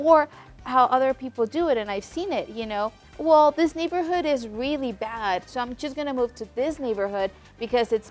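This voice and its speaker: A woman with a Mexican accent, high-pitched and lively in intonation at a fairly quick pace, with music in the background. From Mexico. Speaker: podcast host. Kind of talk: interview. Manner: hesitant, many fillers.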